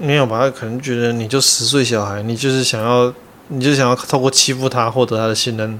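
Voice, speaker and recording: Against noticeable background noise, a man talks at a fairly quick pace in a medium pitch with monotone, flat intonation. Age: 30s. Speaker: podcast co-host. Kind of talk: casual chat.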